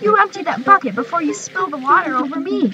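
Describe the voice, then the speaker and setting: A woman puts on a character voice, high-pitched and very fast. Clear background noise runs underneath. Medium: read story.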